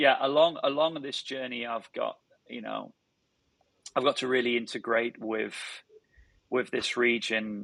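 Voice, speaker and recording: A British accent at a moderate pace, in a very clean recording against a silent background. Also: man. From northern England. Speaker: tech startup founder and CEO. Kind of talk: podcast interview. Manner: halting, many repeated words.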